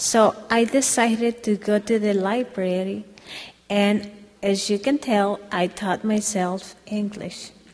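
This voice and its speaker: Over background music, a woman with a Spanish accent speaks very slowly at a medium pitch, her intonation flat and monotone. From Mexico, near Guadalajara. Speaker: domestic violence survivor. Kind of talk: testimony.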